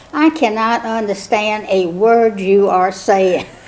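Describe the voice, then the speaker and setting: With a South Carolina accent, a woman speaks at a fairly slow pace and fairly high pitch, with fairly even intonation over noticeable background noise. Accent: Southern US (South Carolina). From South Carolina (Cameron, rural Lowcountry). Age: 70s. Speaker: mother of the year honoree. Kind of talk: oral history interview. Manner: hesitant, many fillers.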